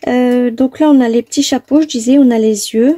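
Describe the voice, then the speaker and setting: At a high pitch yet with a dark, mellow tone, a woman speaks at a moderate pace in a dry, close sound with no echo. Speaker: papercraft tutorial maker. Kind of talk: tutorial. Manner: soft-spoken; hesitant, many fillers.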